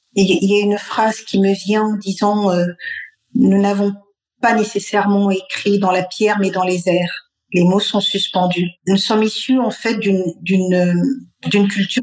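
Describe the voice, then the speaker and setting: A woman with a Malian accent speaks very slowly, in a monotone, flat intonation and at a very even loudness. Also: medium pitch for a woman. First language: Bambara (speaking French). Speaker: cultural heritage expert. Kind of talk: radio interview.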